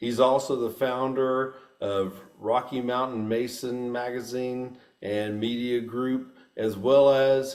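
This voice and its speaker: With a Texan accent, a man speaks in a space with audible room echo. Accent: Texan US Southern. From Texas. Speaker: podcast host. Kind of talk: casual interview.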